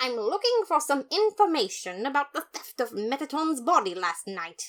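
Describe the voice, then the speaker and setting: A put-on character voice from a woman, high-pitched with very wide pitch swings, at a moderate pace. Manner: grizzled, gruff.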